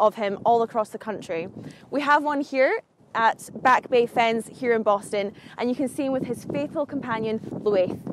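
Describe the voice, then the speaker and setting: A woman with a Scottish accent, high in pitch with ordinary variation, at a moderate pace, dry with no echo, over light background noise. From Scotland. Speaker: video presenter. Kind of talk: scripted narration. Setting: outdoors. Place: garden.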